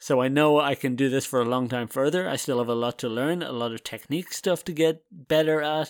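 A man with an unremarkable speaking voice talks at a fairly quick pace and fairly high pitch, with hardly any pauses. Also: ordinary pitch variation, very clean recording, silent background. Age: 30s. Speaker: podcast host. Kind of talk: casual solo monologue.

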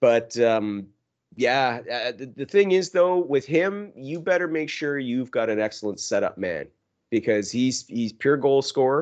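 In a quiet background, a man with an ordinary speaking voice talks fairly slowly at a medium pitch with lively intonation. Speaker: hockey podcast co-host. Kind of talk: casual chat.

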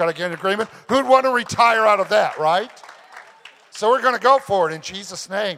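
A man speaks in an American accent. His pitch swings very widely. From US Midwest (southern Illinois). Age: 60s. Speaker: pastor. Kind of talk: sermon. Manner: animated.

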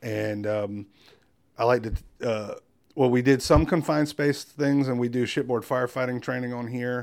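On a very clean recording with a silent background, a man with a medium pitch speaks at a moderate pace with fairly even intonation. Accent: coastal North Carolina. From North Carolina coast (Wilmington). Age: 40s. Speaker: firefighter and craftsman. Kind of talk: interview conversation. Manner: many fillers and repetitions.

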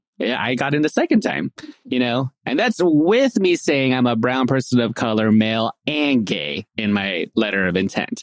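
In an ordinary speaking voice, a man at medium pitch talks at a moderate pace with lively intonation and hardly any pauses. His loudness stays very even, and the sound is dry and close with no echo. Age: 30s. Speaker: podcast host and speech-language pathologist. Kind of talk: casual interview.

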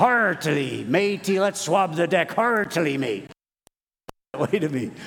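Using a put-on character voice, a man speaks high for a man at a fairly slow pace. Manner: playful.

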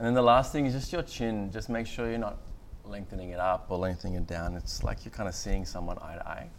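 A man with an Australian accent, lively intonation and a very fast pace. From Australia, far north Queensland (born Sri Lanka, moved at 6). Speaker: meditation teacher. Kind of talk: guided meditation; interview before a live audience. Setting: stage with audience. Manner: hesitant, many fillers.

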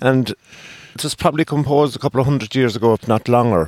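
A man with an Irish accent speaks with ordinary pitch variation, his voice dry and close with no echo. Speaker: politician. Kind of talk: casual chat. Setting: studio.

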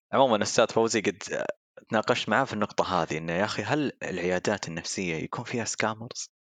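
A man with an unremarkable speaking voice, fairly low pitch and ordinary pitch variation, fairly quick pace, dry, close sound with no echo, quiet background. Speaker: marketing professional and hobby musician. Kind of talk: casual chat.

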